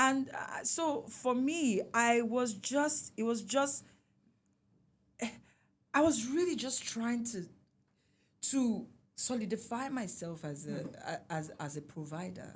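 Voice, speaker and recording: In a Nigerian accent, the speaker moves at a very slow pace with long, frequent pauses and very wide pitch swings. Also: woman, fairly high pitch for a woman. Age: 40s. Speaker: singer. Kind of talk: interview answer.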